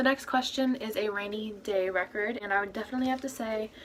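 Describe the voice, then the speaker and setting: There is noticeable background noise as a woman speaks very fast with fairly even intonation. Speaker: youtuber and cover singer. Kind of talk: casual vlog. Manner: monotone.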